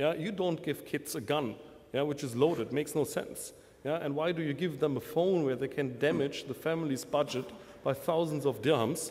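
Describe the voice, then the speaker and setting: A man talks at a moderate pace with a German accent. His pitch is fairly high. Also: ordinary pitch variation. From Germany. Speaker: telecom vendor manager. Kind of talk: panel discussion. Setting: conference stage with audience. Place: hall. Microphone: podium.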